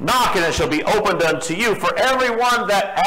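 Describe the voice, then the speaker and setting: With noticeable background noise behind him, a man speaks in a raised, projected voice at a moderate pace, high-pitched with lively intonation. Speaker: preacher. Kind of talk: sermon. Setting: church. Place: church.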